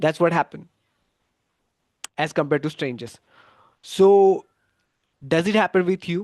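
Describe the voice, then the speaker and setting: A man speaks with a Gujarati accent and ordinary pitch variation, his voice dry and close with no echo against a quiet background. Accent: Indian English (Gujarati). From India, Gujarat. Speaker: English exam coach. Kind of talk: live online class. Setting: YouTube livestream. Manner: halting, with fillers and restarts.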